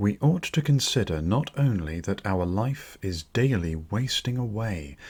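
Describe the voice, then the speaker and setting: A man's somewhat breathy, fairly low voice with very wide pitch swings at a very slow pace, in a very clean recording with a silent background. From British. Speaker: audiobook narrator. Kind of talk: audiobook reading of classical philosophy.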